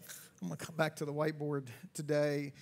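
In a normal speaking voice, a man talks at a moderate pace with a fairly high pitch. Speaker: pastor. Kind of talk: church sermon. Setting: church auditorium. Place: church. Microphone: headset.

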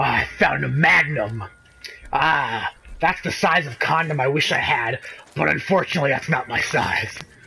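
Amid noticeable background noise, a man speaks at a moderate pace. His pitch is fairly high, with ordinary pitch variation. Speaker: gaming video creator. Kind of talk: casual gameplay commentary. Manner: animated, excitable; puts on a mock Brooklyn accent for a character.

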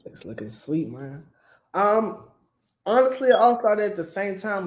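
Audible room echo colors the speech of a man with an American accent. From Maryland, US. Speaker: comedian and clothing brand owner; comedian. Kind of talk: casual interview. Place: kitchen.

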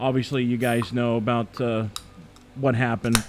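The man here talks at a very fast pace. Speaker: radio show host. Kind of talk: casual chat. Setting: studio. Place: studio. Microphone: studio mic.

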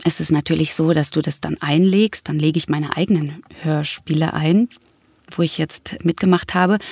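A woman's very deep, low pitch, with fairly even intonation at a moderate pace, in a dry, close sound with no echo. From Berlin. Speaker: actress and voice actress. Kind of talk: casual interview.

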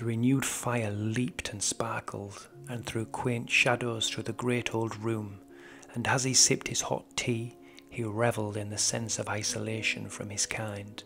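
Music plays in the background as a man talks at a moderate pace. His medium pitch follows fairly even intonation. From Britain. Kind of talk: audiobook horror story narration.

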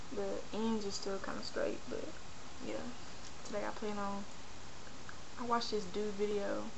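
A woman talks at a moderate pace, leaving long, frequent pauses. Noticeable background noise runs underneath. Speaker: video blogger. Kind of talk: personal vlog rant. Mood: frustrated, venting. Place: home room. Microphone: webcam.

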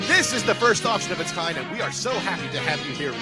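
Clear music plays in the background while a man talks in a dry sound with no echo. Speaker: event emcee / host. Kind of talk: live event emcee announcement. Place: home room. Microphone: handheld.

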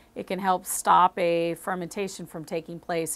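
The speaker is a woman. Her pitch is fairly low. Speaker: wine educator. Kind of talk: explainer to camera. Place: shop. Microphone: lapel.

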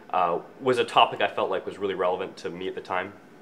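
A man's voice at a fairly quick pace, with ordinary pitch variation and light background noise. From Scotland, raised in Canada. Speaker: student filmmaker. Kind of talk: interview answer. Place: office.

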